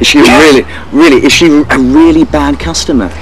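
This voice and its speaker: A man talks at a fairly quick pace. The sound is dry with no echo, though noticeable background noise comes through. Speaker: television presenter. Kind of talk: TV presenter interview and links. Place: garden.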